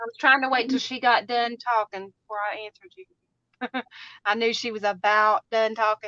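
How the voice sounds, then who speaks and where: Speaking at a moderate pace with a strong Southern US accent, a woman uses a fairly high pitch and a bright, sharp tone, her intonation fairly even but her loudness swinging widely, all in a dry, close sound with no echo. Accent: twangy Southern US accent, strong. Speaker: crafter, live stream co-host. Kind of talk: casual chat during craft stream. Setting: live stream.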